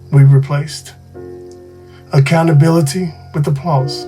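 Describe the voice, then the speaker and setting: A man talks fairly slowly. Behind him, music plays. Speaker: podcast host. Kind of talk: sermon-style podcast monologue.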